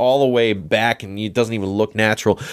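At a fairly quick pace, a man talks in a normal speaking voice with ordinary pitch variation. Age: 30s. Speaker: touring drummer. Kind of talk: casual interview chat.

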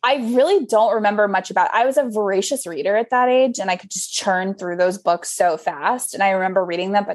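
A woman speaks at a medium pitch with an animated tone. Her pace is fairly quick and her intonation lively. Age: 30s. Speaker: fashion editor. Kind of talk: casual chat.

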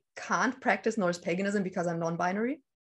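A woman speaks in a German accent at a medium pitch. Her intonation is fairly even, and the background is quiet. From northern Germany, near Danish border. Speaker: witchcraft YouTuber. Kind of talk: casual interview. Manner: hesitant, many fillers.

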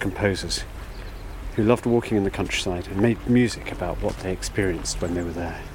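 Over noticeable background noise, a man speaks at a fairly quick pace in a fairly low pitch, with ordinary pitch variation. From Somerset, England. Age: 50s. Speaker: podcast host. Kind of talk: casual chat; scripted narration. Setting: outdoors.

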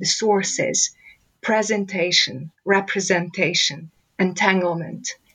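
Speaking fairly slowly with a Hungarian accent, a woman holds a medium pitch in a flat, monotone delivery. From Romania, Hungarian-speaking village. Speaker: professor. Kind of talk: interview.

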